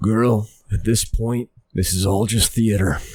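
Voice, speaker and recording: A man's raspy, put-on character voice at medium pitch, with fairly even intonation and a fairly slow pace. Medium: actual play. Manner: laconic, wry.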